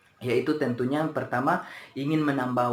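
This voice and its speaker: The room gives the sound an audible echo. A man talks with fairly even intonation. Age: 20s. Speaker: university student. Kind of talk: class presentation. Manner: hesitant, many fillers.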